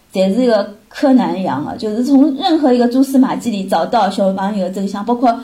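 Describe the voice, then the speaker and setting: A woman with a Shanghainese accent speaks at a fairly quick pace in a fairly high voice with ordinary pitch variation. Noticeable background noise runs underneath. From Shanghai, China. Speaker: mother of a student abroad. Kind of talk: casual chat.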